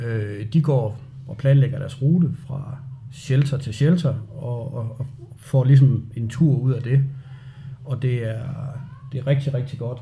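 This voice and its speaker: Speaking at a very slow pace with long, frequent pauses, a man has a dark, mellow tone and medium pitch that is somewhat breathy. His intonation is fairly even, and audible room echo is present. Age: 40s. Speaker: outdoor enthusiast. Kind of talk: interview. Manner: halting.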